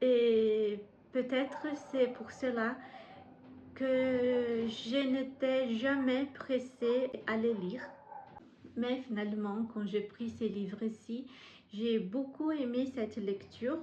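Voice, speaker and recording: A woman speaks very slowly with a Brazilian accent, her high voice keeping a fairly even intonation between long, frequent pauses. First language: Portuguese (speaking French). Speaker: book vlogger. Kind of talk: casual vlog monologue. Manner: halting, frequent hesitations.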